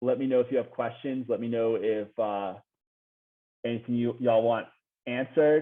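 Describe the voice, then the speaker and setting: A man speaks with fairly even intonation and long, frequent pauses. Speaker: crypto community member giving a talk. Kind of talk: conference presentation. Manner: fast; high energy.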